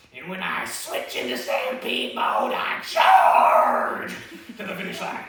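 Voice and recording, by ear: Put-on character voice from a man, high-pitched with a bright, sharp tone, very wide pitch swings and a slow pace, in strong room echo.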